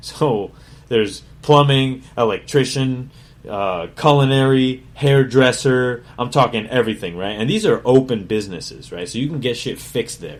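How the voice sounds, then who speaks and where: A man at medium pitch and moderate pace, ordinary pitch variation, big swings in loudness. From Connecticut, US (Meriden). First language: Spanish. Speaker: chef and podcast host. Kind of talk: casual autobiographical monologue. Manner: casual, profane, conversational.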